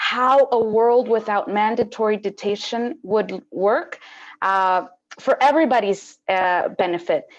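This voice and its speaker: A woman with a Spanish accent speaks at a very slow pace with ordinary pitch variation against a quiet background. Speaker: panel moderator. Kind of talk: moderated webinar introduction. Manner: halting.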